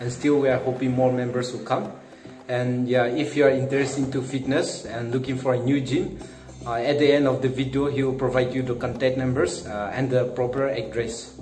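Faint music plays in the background as a man talks at a fairly quick pace in a monotone, flat intonation, with audible room echo. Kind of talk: interview answer. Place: gym. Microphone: phone near.

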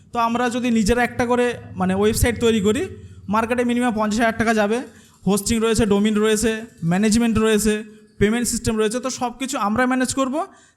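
This man's voice is extremely high-pitched. His intonation stays monotone and flat. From India, West Bengal (Jibantala). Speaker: content creator and course co-founder. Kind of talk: presentation to audience.

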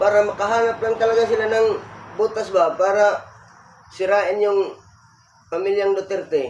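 A man's high-pitched voice at a moderate pace, with noticeable background noise. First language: Bisaya (speaking Tagalog). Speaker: political commentary vlogger. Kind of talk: opinion commentary monologue. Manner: halting, many fillers.

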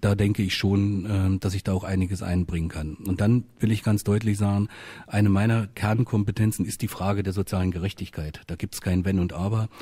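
A man's fairly low, somewhat breathy voice with a dark, mellow tone, monotone, flat intonation and a fairly quick pace against a quiet background. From Saxony-Anhalt, Altmark; Saxony-Anhalt. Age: 50s. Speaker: politician. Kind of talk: radio panel debate. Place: studio.

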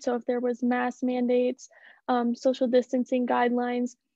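A woman with an American accent talks at a high pitch and a moderate pace, in a dry sound with no echo and a quiet background. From South Dakota, US (Watertown); South Dakota. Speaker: college student. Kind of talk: casual Q&A panel. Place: home room. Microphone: video call.

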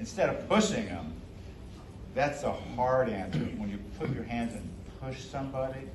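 With audible room echo, a man speaks at medium pitch and a moderate pace, his intonation lively.

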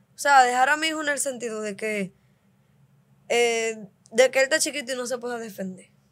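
The delivery is fairly quick, yet broken by long, frequent pauses. Loudness swings widely while the pitch varies in an ordinary way. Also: woman, high pitch for a woman. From Dominican Republic, Cibao countryside; Dominican Republic. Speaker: host's wife; podcast guest. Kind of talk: casual chat with her husband. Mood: playful, laughing storytelling. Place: studio. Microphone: studio mic.

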